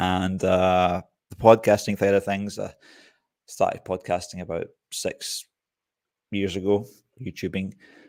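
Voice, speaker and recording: A man with a Scottish accent speaks in a fairly low, flat, monotone voice at a fairly slow pace, leaving long, frequent pauses. The recording is very clean, with a silent background. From Scotland. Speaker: bushcraft YouTuber and software developer. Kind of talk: casual interview chat. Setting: live stream.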